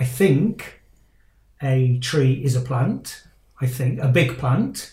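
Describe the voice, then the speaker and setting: A man's somewhat breathy voice at medium pitch, dark and mellow in tone, with fairly even intonation and a British accent. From Britain. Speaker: life coach and podcast host. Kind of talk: casual interview chat. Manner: halting, many fillers and repeats.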